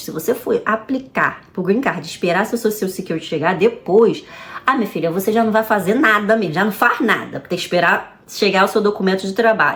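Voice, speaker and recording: In a Rio de Janeiro accent, a woman with a medium pitch talks at a fairly quick pace in an animated tone. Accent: Carioca Brazilian Portuguese. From Brazil, Rio de Janeiro. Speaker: vlogger. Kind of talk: casual advice vlog. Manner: fast.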